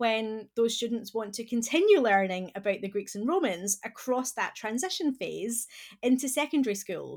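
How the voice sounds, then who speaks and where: On a very clean recording with a silent background, a woman with a Scottish accent speaks at a moderate pace with lively intonation. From Scotland. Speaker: classics professor and education advocate. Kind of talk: interview discussion.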